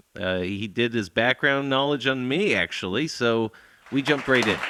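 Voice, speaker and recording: With an ordinary speaking voice, a man talks at a fairly quick pace in a medium pitch with lively intonation, on a very clean recording with a silent background. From Ontario, Canada. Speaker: podcast host. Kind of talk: narrated intro. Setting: stage with audience.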